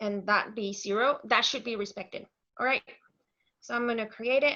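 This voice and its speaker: With a Mexican accent, a woman speaks at a moderate pace in a fairly high, bright, sharp voice with fairly even intonation. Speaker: software consultant and author. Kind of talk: technical demo presentation.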